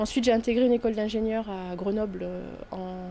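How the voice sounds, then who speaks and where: Against noticeable background noise, a woman speaks at a fairly high pitch with fairly even intonation. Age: 30s. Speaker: network administrator. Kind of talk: interview testimony. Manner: hesitant, many fillers.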